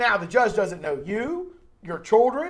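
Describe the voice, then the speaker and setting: Lively intonation marks this man's speech in an American accent. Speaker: podcast host, lawyer. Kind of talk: casual interview Q&A. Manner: fast.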